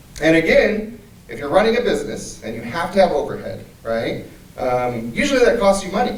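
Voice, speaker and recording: A man speaks at a fairly quick pace, with big swings in loudness. Noticeable background noise and audible room echo fill the recording. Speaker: anti-trafficking speaker. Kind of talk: symposium talk. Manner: fast.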